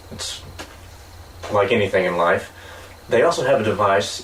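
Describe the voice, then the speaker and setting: A man's speech comes with audible echo from the room and noticeable noise in the background. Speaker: podcast co-host. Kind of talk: casual chat.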